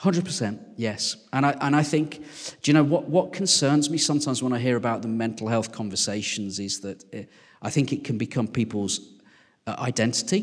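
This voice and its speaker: A man speaks at a moderate pace with a West Midlands accent. His pitch is medium and his intonation is lively. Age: 40s. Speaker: vicar. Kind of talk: casual interview.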